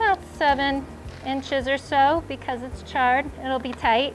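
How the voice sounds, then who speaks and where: High pitch from a woman at a fairly slow pace, her intonation fairly even, with music in the background. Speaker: gardening instructor. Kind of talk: tutorial. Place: garden. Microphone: lapel.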